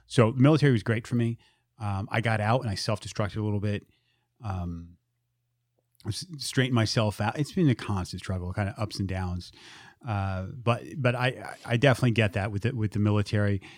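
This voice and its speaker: On a very clean recording with a silent background, a man with a normal speaking voice talks fairly quickly at a fairly low pitch, with ordinary pitch variation. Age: 40s. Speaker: podcast host guest, military veteran in recovery. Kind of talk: casual chat.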